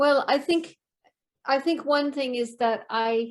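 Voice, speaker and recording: A woman talks fairly slowly with ordinary pitch variation. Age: 70s. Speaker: professional storyteller. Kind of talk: interview answer.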